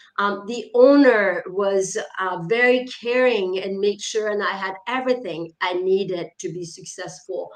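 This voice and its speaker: A French accent at a fairly slow pace, against noticeable background noise. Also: woman, medium pitch for a woman, ordinary pitch variation. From France, small mountain town. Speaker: author and leadership coach. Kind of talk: interview. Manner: hesitant with fillers.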